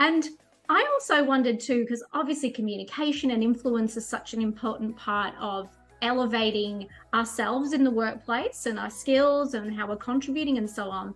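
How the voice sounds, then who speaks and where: With music in the background, a woman talks at a moderate pace in a fairly high pitch with ordinary pitch variation. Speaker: life and career coach. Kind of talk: interview host, conversational.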